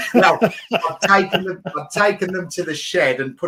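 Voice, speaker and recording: The speaker has a Birmingham accent and keeps a moderate pace. Noticeable background noise runs underneath. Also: man. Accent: Birmingham (Brummie). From England, Birmingham. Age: 50s. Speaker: business professional. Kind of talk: casual interview.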